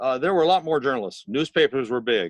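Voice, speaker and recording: With an American accent, a man speaks in a normal speaking voice, fairly high-pitched, with lively intonation. The sound is dry and close with no echo, over a quiet background. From Missouri. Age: 60s. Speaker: magazine editor. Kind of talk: interview. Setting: video call, audio only.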